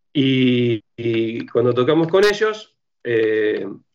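Against a quiet background, a man with an Argentine accent speaks in a medium pitch. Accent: Rioplatense Argentine Spanish. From Argentina, Rosario. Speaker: punk band musician. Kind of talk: interview conversation.

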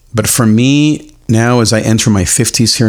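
This man has a fairly low pitch and a normal speaking voice. His pitch varies in an ordinary way. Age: 40s. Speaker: faith podcast host. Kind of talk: solo podcast monologue.

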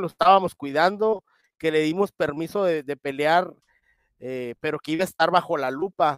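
Using an unremarkable speaking voice, a man talks at a moderate pace with a fairly high pitch and ordinary pitch variation. The sound is dry and close, with no echo. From Mexico. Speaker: boxing commissioner and media contributor. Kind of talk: casual chat.

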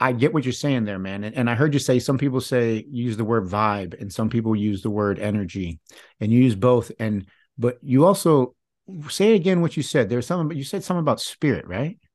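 Over a quiet background, a man with an American accent talks at a fairly quick pace in a normal speaking voice. His pitch is medium and his intonation lively. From Michigan, US. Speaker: podcast host. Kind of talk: casual interview chat.

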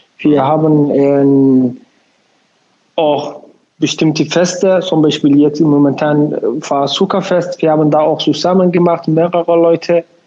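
A man with a Somali accent speaks at a fairly slow pace and a fairly high pitch, keeping fairly even intonation and very even loudness, with long, frequent pauses. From Somalia. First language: Somali (speaking German). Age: 20s. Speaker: community association chairman and lab technician. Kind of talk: interview. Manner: halting.

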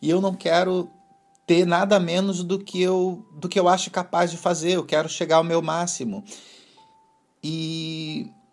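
Music plays in the background. Over it, a man talks at a high pitch. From Brazil. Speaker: podcast host and long-distance cycle traveller. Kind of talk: casual interview conversation.

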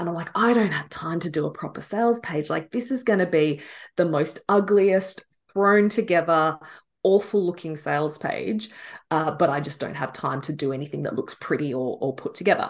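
A woman talks at a moderate pace with a fairly low pitch and lively intonation. The background is quiet. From Australia. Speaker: business and messaging coach. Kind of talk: casual interview conversation. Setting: remote call from Australia.

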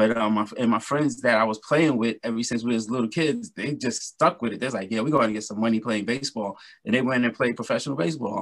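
A man with a New York accent talks at a very fast pace with hardly any pauses. His voice sits at medium pitch with ordinary pitch variation. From Brooklyn, New York. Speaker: R&B singer and musician. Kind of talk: interview.

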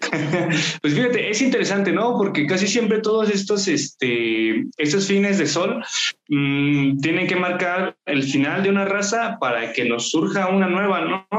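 At a fairly slow pace, a man speaks in a high pitch with lively intonation and very even loudness. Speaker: local history project founder. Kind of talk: casual interview chat.

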